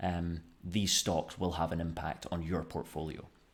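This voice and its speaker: A man with a Scottish accent, very deep and low-pitched, at a fairly slow pace, in a very clean recording with a silent background. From Scotland. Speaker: finance YouTuber. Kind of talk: casual finance commentary. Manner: hesitant, many fillers.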